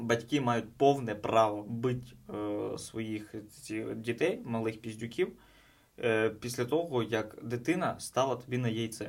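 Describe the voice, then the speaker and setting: A man at medium pitch talks at a very slow pace, with long, frequent pauses. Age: 20s. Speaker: stand-up comedian. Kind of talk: casual chat; scripted narration.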